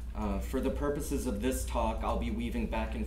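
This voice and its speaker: Heard over light background noise with audible room echo, a man speaks at a moderate pace in a monotone, flat intonation. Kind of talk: lecture. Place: classroom. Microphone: camera far.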